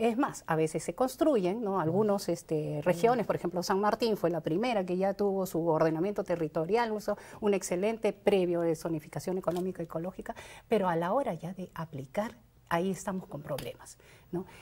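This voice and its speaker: Fairly quick in pace, this dark, mellow-toned voice shows ordinary pitch variation. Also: woman, medium pitch for a woman. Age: 60s. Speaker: congressional candidate. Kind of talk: interview.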